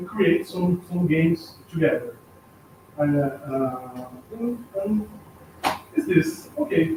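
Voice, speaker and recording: A high-pitched man speaking at a very slow pace over noticeable background noise. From Brazil. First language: Portuguese. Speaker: artist and art teacher. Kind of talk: self-introduction at meeting. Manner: halting.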